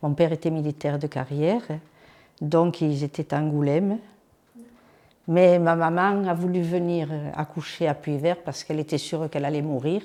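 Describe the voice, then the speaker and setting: A woman with a very deep, low pitch and a dark, mellow tone speaks at a moderate pace with long, frequent pauses and fairly even intonation. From southern France, Aude (Puivert). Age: 80s. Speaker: village elder. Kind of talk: oral history interview.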